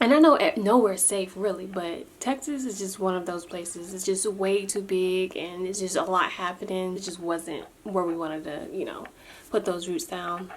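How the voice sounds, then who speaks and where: Over noticeable background noise, a woman speaks quietly at a moderate pace. Her medium pitch varies in an ordinary way. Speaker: vlogger. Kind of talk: casual vlog update. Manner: quiet, low volume.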